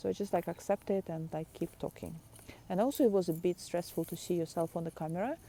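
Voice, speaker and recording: A woman's fairly low pitch with a non-native accent, a dark, mellow tone, and fairly even intonation. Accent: foreign. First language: not English. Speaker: artist and video blogger. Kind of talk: casual vlog talk. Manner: halting, many fillers and repeats.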